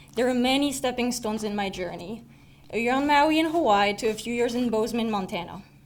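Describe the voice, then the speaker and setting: With a slight French accent and a fairly high pitch, a woman talks at a very fast pace, with audible room echo. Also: ordinary pitch variation. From southern France. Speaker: student speaker. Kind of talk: prepared personal speech.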